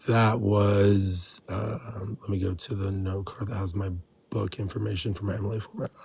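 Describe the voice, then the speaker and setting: The male speaker's pitch sits fairly low. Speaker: caller debating a streamer. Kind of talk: online debate. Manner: loud when passionate; rambling, many fillers.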